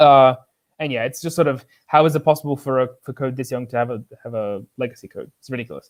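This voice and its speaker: Talking at a very fast pace, a man with a medium pitch keeps his intonation fairly even while his loudness swings a lot. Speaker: software engineer, container runtime maintainer. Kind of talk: technical talk. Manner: filler-heavy.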